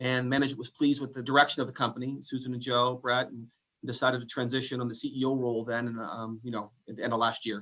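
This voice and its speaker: A man talks at a very fast pace in a medium pitch, his tone bright and sharp and his intonation fairly even. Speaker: attorney and company CEO. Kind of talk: interview.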